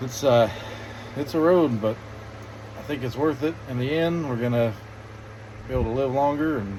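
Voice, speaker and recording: The speech moves at a moderate pace with ordinary pitch variation and long, frequent pauses. Audible room echo and noticeable background noise surround it. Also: man. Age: 30s. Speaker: vlogger. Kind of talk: casual chat. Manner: halting.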